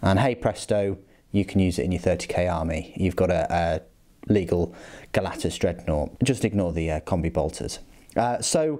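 A man's very deep, low voice, dark and mellow in tone, with lively intonation at a moderate pace against a quiet background. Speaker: hobbyist reviewing a model kit. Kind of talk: casual review walkthrough.

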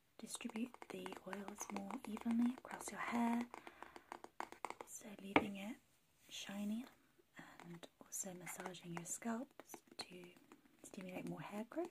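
A soft-spoken woman at a fairly slow pace, with long, frequent pauses over noticeable background noise. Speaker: ASMR creator. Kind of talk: ASMR soft-spoken product review. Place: home room. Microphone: phone near.

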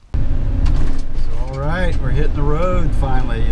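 A man talks at a fairly slow pace while loud background noise fills the clip. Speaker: RV owner vlogger. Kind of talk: casual vlog chat. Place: car. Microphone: phone near.

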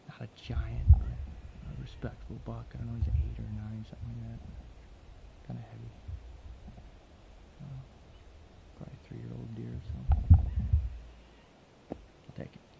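Over noticeable background noise, a man with a very deep, low pitch speaks in a monotone, flat way at a moderate pace, with long, frequent pauses. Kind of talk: casual vlog chat. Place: forest. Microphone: phone near.

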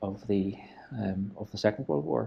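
A man speaks at a moderate pace with a fairly low pitch. His tone is dark and mellow. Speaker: video host. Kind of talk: casual tour commentary. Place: empty room. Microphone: lapel.

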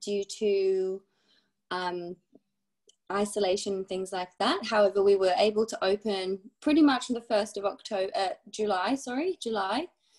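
This woman talks at a fairly slow pace with ordinary pitch variation. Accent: British. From UK. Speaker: ski instructor and ski school supervisor. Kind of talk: casual interview. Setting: video call.

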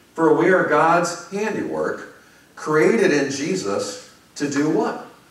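A man with an American accent speaks at a very slow pace, with noticeable background noise and audible room echo. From US Midwest, Chicago. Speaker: pastor. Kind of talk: sermon. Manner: conversational, with frequent fillers.

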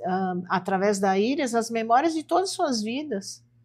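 With lively intonation, this woman's voice sits fairly high in pitch. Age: 60s. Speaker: homeopathic doctor; interview guest. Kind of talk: interview. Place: studio.

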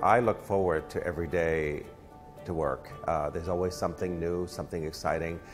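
A man's low-pitched voice at a moderate pace, with faint music in the background

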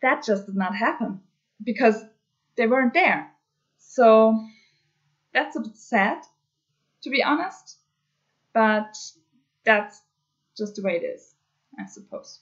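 With a German accent, a woman speaks at a moderate pace in a somewhat breathy voice with lively intonation and long, frequent pauses, over a quiet background. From Germany. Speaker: cross-stitch hobby vlogger. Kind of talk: casual craft vlog update. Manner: hesitant, many filler words. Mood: mildly annoyed, resigned. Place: home room. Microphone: webcam.

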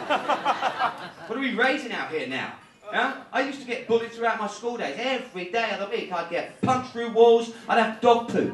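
At a moderate pace, a man speaks in an extremely high voice. Noticeable background noise fills the recording. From United Kingdom. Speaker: stand-up comedian. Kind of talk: live stand-up comedy set. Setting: live comedy club. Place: stage.

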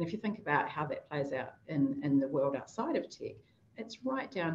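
Over light background noise, a woman with a fairly low, somewhat breathy voice speaks at a fairly quick pace. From New Zealand. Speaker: technology executive; panelist. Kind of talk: panel discussion. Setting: video call. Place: office. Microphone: webcam.

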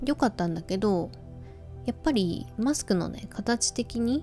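Faint music plays behind a woman who speaks at a moderate pace in a relaxed tone with lively intonation. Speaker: radio-style talk host. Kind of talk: sleep-inducing radio talk, casual chat to listeners. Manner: relaxed, conversational. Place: home room. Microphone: phone near.

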